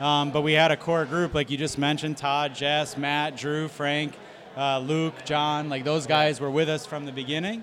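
Over noticeable background noise, a man with an American accent speaks at a moderate pace in a flat monotone. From Springfield, Massachusetts. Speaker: hockey team president. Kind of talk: casual chat. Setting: live show at a brewery.

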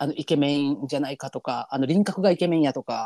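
The speaker has a Kansai accent and an animated tone at a very fast pace. The recording is very clean, with a silent background. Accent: Kansai Japanese. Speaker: podcast co-host. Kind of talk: casual chat with listener advice. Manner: animated, laughs often.

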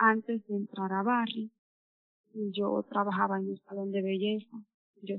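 Her medium-pitched voice moves at a fairly slow pace as this woman talks. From Dominican Republic. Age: 30s. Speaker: mine welder. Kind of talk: personal testimony.

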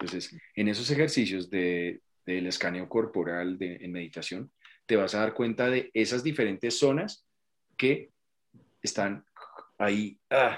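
A man talks at a fairly slow pace with a fairly low pitch. His intonation is lively, broken by long, frequent pauses. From Colombia. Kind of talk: interview.

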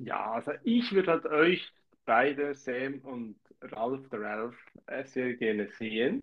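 A man with a Swiss German accent speaks at a medium pitch with ordinary pitch variation. His pace is very slow. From Switzerland, canton of Zurich. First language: Swiss German (speaking German). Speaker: podcast co-host. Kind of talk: casual chat.

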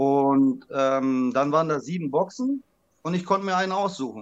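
Using an unremarkable speaking voice, a man with fairly high pitch talks at a moderate pace with lively intonation. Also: quiet background. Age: 40s. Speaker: trading card collector. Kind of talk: interview.

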